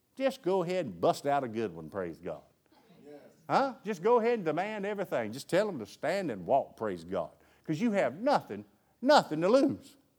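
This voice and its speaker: Speaking at a moderate pace with a Southern US accent, the voice makes big swings in loudness. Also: man. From US South. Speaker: preacher. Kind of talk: sermon. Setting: church. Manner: animated.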